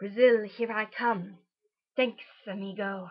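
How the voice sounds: A woman does a put-on character voice at a medium pitch, with hissing. Her pace is fairly slow.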